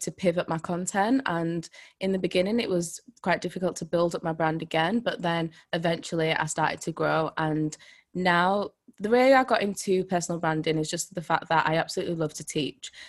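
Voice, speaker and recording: A woman with a Yorkshire accent at a fairly low pitch and moderate pace, with ordinary pitch variation and a quiet background. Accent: Yorkshire English, mild. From Leeds, Yorkshire, England. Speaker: personal brand coach. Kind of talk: casual interview chat.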